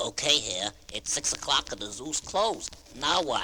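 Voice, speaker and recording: A man's put-on character voice at a moderate pace, over clear background noise. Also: fairly high pitch for a man. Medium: audio drama. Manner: excitable, chatty.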